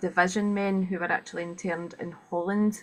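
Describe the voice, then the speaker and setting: A woman with a Scottish accent talks at a medium pitch with fairly even intonation. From Scotland. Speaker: webinar host. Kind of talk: event introduction. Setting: video call. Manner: fast.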